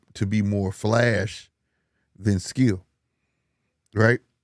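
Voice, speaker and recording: Very slowly, a man speaks at a fairly low pitch in a monotone, flat intonation. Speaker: boxing podcaster. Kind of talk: casual chat.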